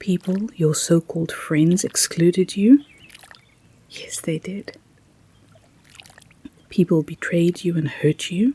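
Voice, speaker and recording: Soft-spoken and very slow, the voice leaves long, frequent pauses over noticeable background noise. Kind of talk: positive affirmations.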